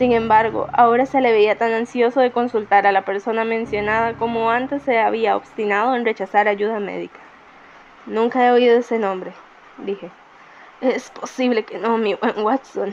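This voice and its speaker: A woman talks in a fairly high pitch with monotone, flat intonation. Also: moderate pace. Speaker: amateur narrator. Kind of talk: audiobook narration. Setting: home recording, poor microphone.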